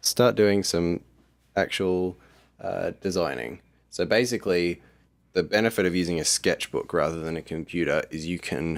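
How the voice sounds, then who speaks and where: Delivered at a moderate pace with ordinary pitch variation, the speech comes in a very clean recording with a silent background. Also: man, very deep, low pitch for a man. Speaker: app developer vlogger. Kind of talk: casual video diary walkthrough. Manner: hesitant, filler-heavy; quiet.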